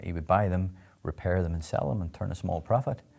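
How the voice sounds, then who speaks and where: The recording is very clean, with a silent background. The voice has a dark, mellow tone. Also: man. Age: 40s. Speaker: company CEO. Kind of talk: interview.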